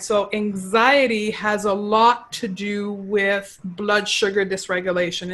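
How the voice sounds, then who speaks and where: The pitch moves in an ordinary way. There is a slight Quebec accent. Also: woman. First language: French. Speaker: clinical nutritionist. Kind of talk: interview.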